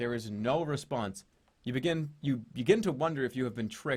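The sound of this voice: Someone reads in an unforced voice.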